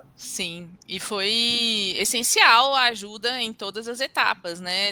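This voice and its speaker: A bright, sharp tone in a Minas Gerais accent. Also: woman. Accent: mineiro accent, noticeable. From Brazil, Minas Gerais (Belo Horizonte). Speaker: tax lawyer and law firm partner. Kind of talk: interview.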